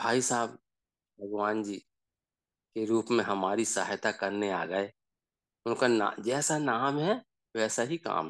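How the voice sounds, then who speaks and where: A man talks at a medium pitch with ordinary pitch variation. He pauses often and at length. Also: quiet background. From Seoni district, Madhya Pradesh. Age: 60s. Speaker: father sharing family experience. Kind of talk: personal testimony in online group session.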